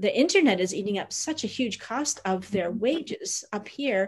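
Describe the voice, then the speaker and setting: A woman with a Canadian accent and a fairly high pitch talks in a somewhat breathy voice at a moderate pace against a quiet background. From Niagara, Ontario; Ontario. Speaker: bed and breakfast owner, migrant worker supporter; panelist. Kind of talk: webinar presentation. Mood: earnest, caring. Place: home room. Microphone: video call.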